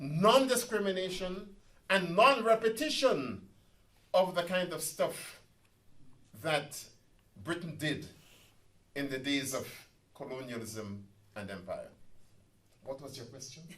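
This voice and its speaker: A man with a fairly high pitch talks at a fairly slow pace, leaving long, frequent pauses. His pitch swings very widely, his loudness swings a lot, and the room echo is audible. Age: 70s. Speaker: professor and activist. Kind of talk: public talk. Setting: community centre meeting with audience. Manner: animated.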